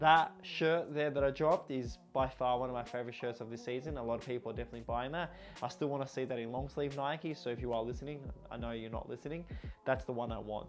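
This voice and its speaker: Music plays in the background as a man with an Australian accent talks very fast at a medium pitch with ordinary pitch variation. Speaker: football shirt collector and reviewer. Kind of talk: casual product review.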